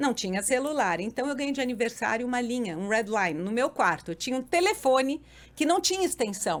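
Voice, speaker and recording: At a fairly quick pace, a woman speaks with a high pitch and very wide pitch swings, in a very clean recording with a silent background. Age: 60s. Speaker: podcast guest, mother and grandmother. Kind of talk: casual interview chat. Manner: animated.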